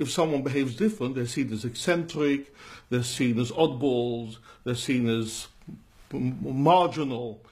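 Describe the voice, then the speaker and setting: A somewhat breathy man's voice of medium pitch with a non-native accent, ordinary pitch variation and a fairly slow pace. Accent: non-English accent despite being a Londoner. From London. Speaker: rabbi. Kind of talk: interview conversation.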